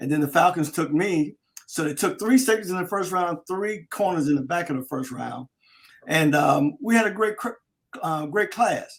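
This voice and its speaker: High-pitched male speech at a moderate pace, full of lively intonation. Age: 60s. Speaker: former NFL defensive back, sports radio host. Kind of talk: casual interview chat.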